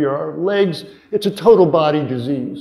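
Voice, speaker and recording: A man with an American accent and a fairly high voice. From US Midwest, northern Wisconsin. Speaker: physician. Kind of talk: conference talk. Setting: stage with audience. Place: hall.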